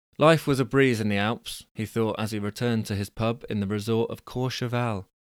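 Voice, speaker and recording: Recorded very cleanly against a silent background, with a dry, close sound and no echo, a man speaks at a moderate pace with ordinary pitch variation. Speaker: podcast host reading stories aloud. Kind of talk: scripted story reading with character voices, plus chatty asides. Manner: animated, playful, hesitant with filler words.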